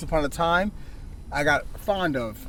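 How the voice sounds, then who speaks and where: A man with a New York accent, ordinary pitch variation, audible room echo and noticeable background noise. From Queens, New York (South Jamaica). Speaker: street dancer. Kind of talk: interview.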